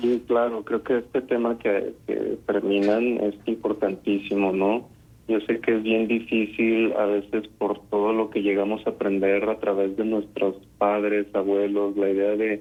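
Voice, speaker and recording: The delivery is fairly slow with hardly any pauses. Loudness stays very even and the intonation is monotone and flat. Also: man, fairly low pitch for a man. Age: young. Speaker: psychologist. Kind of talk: radio interview. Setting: phone call.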